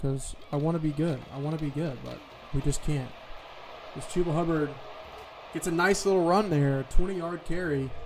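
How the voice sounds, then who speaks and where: A man's fairly high voice at a moderate pace, with fairly even intonation, big swings in loudness, long, frequent pauses and noticeable background noise. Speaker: gaming video creator. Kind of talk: gameplay commentary. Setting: at home.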